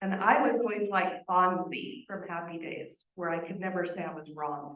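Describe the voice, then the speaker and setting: In a plain, everyday voice, a woman speaks at medium pitch and a moderate pace, with ordinary pitch variation and big swings in loudness. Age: 50s. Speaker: family member giving memorial tribute. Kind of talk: eulogy tribute.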